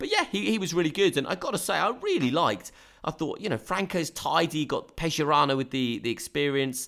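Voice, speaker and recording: A man speaks in a southern English accent at a fairly quick pace. His pitch is fairly high and his intonation lively. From southern England (Brighton). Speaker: football podcast host. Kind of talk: casual chat. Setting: Skype call.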